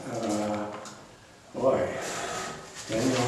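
A man speaks at a very slow pace in strong room echo, with noticeable background noise. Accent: American. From US West Coast, Los Angeles. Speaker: retired economics professor. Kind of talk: oral history interview. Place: classroom. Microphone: camera far.

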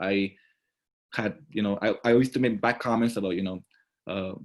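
Speaking very fast, a man with a Mexican accent keeps a fairly low pitch. His intonation is fairly even, and the recording is very clean with a silent background. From Mexico. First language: Spanish. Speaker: student leader. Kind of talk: testimony.

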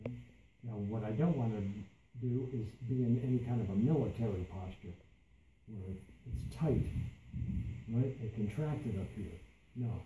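A man talks at a moderate pace with ordinary pitch variation and long, frequent pauses. Audible room echo and light background noise are present. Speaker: meditation instructor. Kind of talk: guided meditation. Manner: repeats key phrases for emphasis. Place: meeting room. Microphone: camera far.

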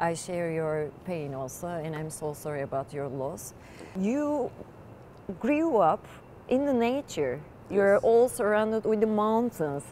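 The voice has very wide pitch swings and a Turkish accent. The pace is fairly slow, and there is light background noise. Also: woman. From Turkey. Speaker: interviewer. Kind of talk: interview. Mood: warm, sympathetic. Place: stadium.

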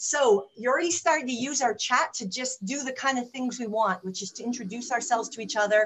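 This woman's voice sits high in pitch, with lively intonation. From Canada. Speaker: webinar host. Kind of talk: webinar hosting. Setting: online webinar. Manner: fast talker; enthusiastic.

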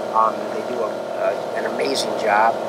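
A man's voice sounds dry with no echo, while loud background noise fills the clip. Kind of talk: interview answer. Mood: relaxed, friendly. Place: farm machine. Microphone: headset.

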